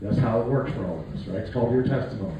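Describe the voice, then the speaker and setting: A man with an American accent talks with ordinary pitch variation, and the recording has audible room echo and noticeable background noise. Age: 60s. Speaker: political candidate and war veteran. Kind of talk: campaign speech with testimony. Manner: folksy, conversational.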